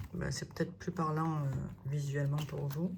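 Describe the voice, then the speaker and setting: At a fairly slow pace, a woman speaks in a somewhat breathy voice with monotone, flat intonation. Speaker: budget planner content creator. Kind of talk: product presentation. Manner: hesitant, many fillers.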